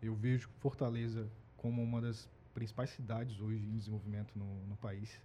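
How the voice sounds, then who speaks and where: A man's somewhat breathy voice, medium in pitch with a dark, mellow tone, moderate pace and monotone, flat intonation. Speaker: supermarket employee, migrant from another region. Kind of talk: casual chat.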